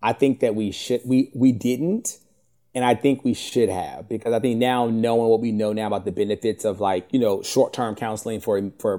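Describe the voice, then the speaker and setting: A man with an American accent speaks fairly quickly at a medium pitch, his dark, mellow tone showing ordinary pitch variation on a very clean recording with a silent background. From US South, Richmond, Virginia. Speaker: TV network marketing executive. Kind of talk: interview conversation.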